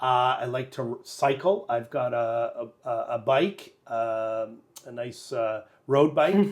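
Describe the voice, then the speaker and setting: A man at medium pitch with a Canadian accent, speaking at a very slow pace. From Sudbury, northern Ontario, Canada. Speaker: school board director of education. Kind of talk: casual interview. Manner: halting, many fillers.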